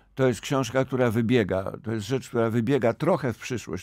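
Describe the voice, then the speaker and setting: A man's dark, mellow voice, with ordinary pitch variation, comes through dry with no echo over a quiet background. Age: old. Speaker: novelist; guest. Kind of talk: radio interview. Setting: studio. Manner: halting, with many repetitions. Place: studio. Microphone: studio mic.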